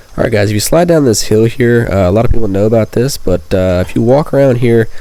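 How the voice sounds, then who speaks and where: Noticeable background noise sits behind this recording. A man speaks at a medium pitch and a fairly quick pace. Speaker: gaming youtuber. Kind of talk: gameplay tutorial commentary. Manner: casual, many fillers.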